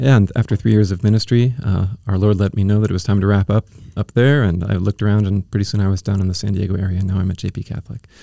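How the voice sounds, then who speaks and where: A man with an American accent talks very fast, with hardly any pauses, at a fairly low pitch in a dark, mellow tone, recorded dry and close with no echo, very clean and against a silent background. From California, US. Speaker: theologian, poet and professor. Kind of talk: casual interview. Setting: studio.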